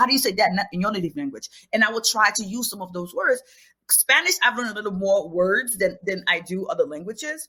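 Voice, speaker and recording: A woman's very fast, lively voice with a Haitian accent, fairly high in pitch and bright, sharp in tone. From Haiti, raised in New York City. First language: Haitian Creole. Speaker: children's book author and teacher. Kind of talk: podcast interview.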